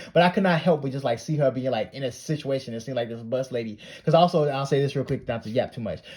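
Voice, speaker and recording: Speaking at a very fast pace, a man uses a fairly high, somewhat breathy voice. His pitch varies in an ordinary way. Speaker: art YouTuber. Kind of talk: casual storytime monologue.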